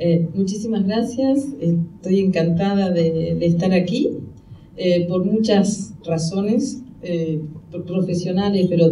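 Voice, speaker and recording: A woman speaks very slowly with a fairly low pitch and ordinary pitch variation. There is audible room echo and noticeable background noise. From Argentina. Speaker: anthropologist. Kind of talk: conference talk. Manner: halting, many fillers.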